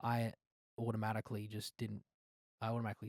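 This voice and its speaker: Speaking at a very fast pace, a man comes through with a dry, close sound that has no echo. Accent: Australian. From Australia. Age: 20s. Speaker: singer-songwriter. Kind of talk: casual interview. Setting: studio couch.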